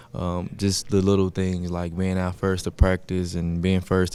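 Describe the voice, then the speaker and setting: A soft-spoken man with a very deep, low pitch and a dark, mellow tone speaks at a moderate pace. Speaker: college football player. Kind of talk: press conference.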